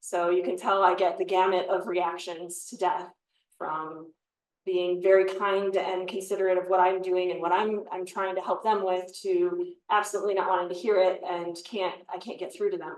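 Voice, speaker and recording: In a monotone, flat intonation, a woman speaks at a medium pitch. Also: moderate pace. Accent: American. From US Midwest, Chicago area. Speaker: forensic pathologist. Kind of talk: panel talk answering questions.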